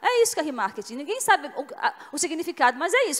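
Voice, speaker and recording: In a regional Brazilian accent, a woman with an extremely high pitch talks at a very fast pace. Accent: noticeable regional Brazilian. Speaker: business executive, conference speaker. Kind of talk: conference talk. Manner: conversational, with fillers.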